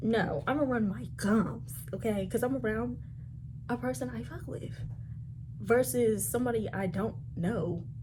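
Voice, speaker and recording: Somewhat breathy and very deep in pitch, a woman with an American accent speaks at a moderate pace, with very wide pitch swings and long, frequent pauses. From DC, Maryland, Virginia area. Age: 20s. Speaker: coffee blogger, content creator. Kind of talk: casual talk to camera.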